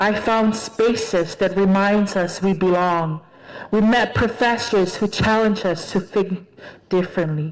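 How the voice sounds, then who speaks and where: The speaker has a Tongan accent and fairly even intonation. The pace is very slow. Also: woman. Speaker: graduating student speaker. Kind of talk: commencement speech.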